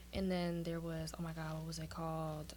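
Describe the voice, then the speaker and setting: A woman with a New York accent, plus audible room echo. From Brooklyn, New York. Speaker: aspiring singer and actress. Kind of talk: casual chat.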